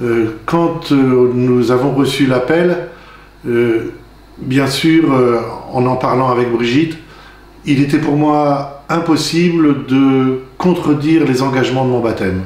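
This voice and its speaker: There is audible room echo and noticeable background noise as a man speaks at a medium pitch. His pace is very slow and his loudness is very even. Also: ordinary pitch variation. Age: 60s. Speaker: deacon candidate, retired farmer. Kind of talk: testimony. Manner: halting.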